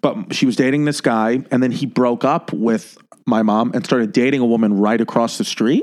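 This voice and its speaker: Here a man talks at a fairly quick pace. His pitch sits in the medium range, with ordinary variation. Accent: American. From New York City (Queens/Brooklyn). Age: 30s. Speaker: comedian and podcast host. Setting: studio. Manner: fast talker.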